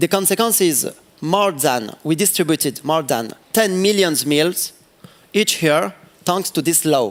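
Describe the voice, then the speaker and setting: With a French accent, a man speaks at a fairly slow pace in a fairly high pitch, his intonation lively and his loudness very even. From France. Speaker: city councillor, politician. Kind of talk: panel interview on stage. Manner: halting, searching for English words.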